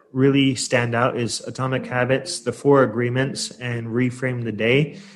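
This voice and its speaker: A man with an American accent at medium pitch, at a fairly slow pace, with music in the background. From US Pacific Northwest, Portland, Oregon. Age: 30s. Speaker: English teacher and book podcaster. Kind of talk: interview conversation.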